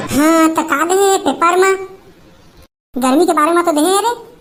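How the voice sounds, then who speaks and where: Squeaky and cartoonish, this is a character voice. It moves at a moderate pace. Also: woman, extremely high pitch for a woman. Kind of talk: comic cartoon voice.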